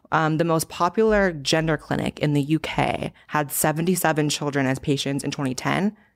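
Recorded very cleanly against a silent background, a woman speaks with a very deep, low pitch and ordinary pitch variation. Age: 20s. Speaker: YouTuber and political commentator. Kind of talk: casual interview.

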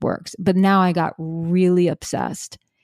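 A woman with an American accent speaks calmly at a moderate pace, her medium-pitched voice dark and mellow in tone. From New York City. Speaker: relationship coach. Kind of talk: interview conversation.

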